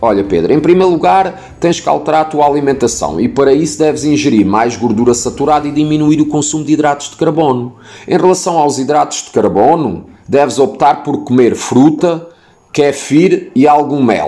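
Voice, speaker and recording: Against noticeable background noise, a man with a European Portuguese accent speaks at a moderate pace with a fairly high pitch, ordinary pitch variation and very even loudness. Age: 40s. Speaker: fitness blogger. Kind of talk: Q&A podcast monologue.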